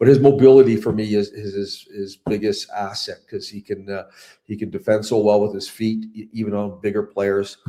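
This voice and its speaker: A man's fairly low, dark, mellow voice at a moderate pace, with monotone, flat intonation and big swings in loudness. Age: 60s. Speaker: hockey coach. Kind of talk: interview. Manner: halting, many fillers.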